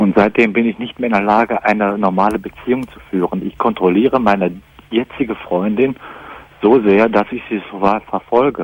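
In a dry recording with no echo, a man with a normal speaking voice and a fairly low pitch talks at a moderate pace with fairly even intonation. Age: 20s. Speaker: caller with jealousy problem; radio caller. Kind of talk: call-in radio talk.

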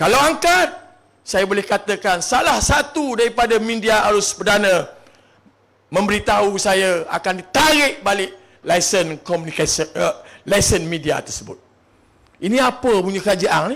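This man has a high pitch and a bright, sharp tone. He speaks fairly slowly with lively intonation. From Malaysia, Terengganu (Marang). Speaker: politician, election candidate. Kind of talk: political rally speech.

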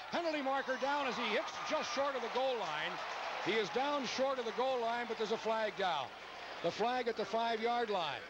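Over loud background noise, a man's extremely high voice comes through dry with no echo, animated in tone, with ordinary pitch variation and very even loudness. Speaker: play-by-play announcer. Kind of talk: live play-by-play sports commentary. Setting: stadium press box broadcast. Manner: rapid-fire, animated play-by-play calling the action as it unfolds.

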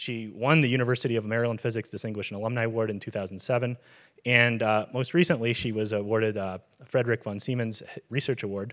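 A man at a very fast pace with fairly even intonation and a quiet background. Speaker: event host introducing the lecturer. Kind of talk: speaker introduction. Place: hall. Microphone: handheld.

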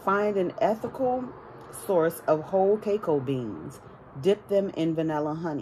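A woman talks at a fairly slow pace in a fairly low voice. Light background noise sits behind her. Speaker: tarot reader. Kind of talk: casual vlog chat. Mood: calm, warm. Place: home room. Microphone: phone near.

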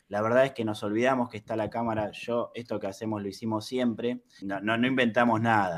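A man talks at a fairly quick pace with hardly any pauses. His intonation is flat and monotone. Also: medium pitch for a man. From Argentina. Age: 30s. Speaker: YouTuber. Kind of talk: interview. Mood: calm, reflective. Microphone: video call.

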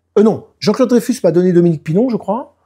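Against a quiet background, a man uses lively intonation and a dark, mellow tone. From France, Nice; France. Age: 50s. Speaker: didgeridoo player and DJ; DJ. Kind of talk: casual interview. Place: home room.

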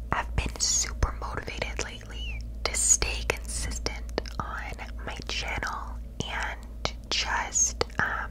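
A soft-spoken woman's whisper at a very slow pace beneath loud background noise. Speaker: content creator. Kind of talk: casual vlog chat. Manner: close soft ASMR whisper. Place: home room. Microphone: studio mic.

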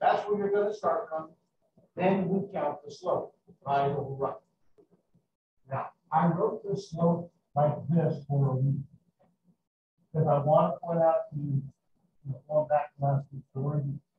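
With long, frequent pauses, a man talks at a moderate pace in a room with audible echo and noticeable background noise. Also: ordinary pitch variation. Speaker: math teacher. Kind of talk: lecture. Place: classroom.

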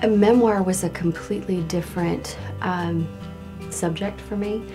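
A woman speaks over clear music in the background. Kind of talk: interview answer. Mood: warm, positive. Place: studio.

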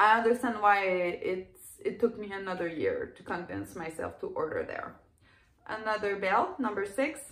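Delivered at a moderate pace with big swings in loudness, the voice carries a French Canadian accent and audible room echo. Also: woman. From Quebec, Canada. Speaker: clothing reseller. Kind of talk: casual talk to camera. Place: home room. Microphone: phone near.

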